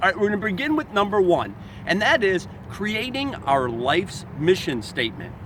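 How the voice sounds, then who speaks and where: A man speaks with a high pitch and very wide pitch swings. Noticeable background noise is present. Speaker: self-help author and motivational speaker. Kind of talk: motivational talk. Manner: fast.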